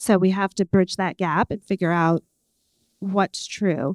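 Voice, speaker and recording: A normal speaking voice at a moderate pace, captured in a very clean recording with a silent background. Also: woman, dry, close sound with no echo. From New York, Puerto Rican heritage. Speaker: panel moderator. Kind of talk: panel discussion.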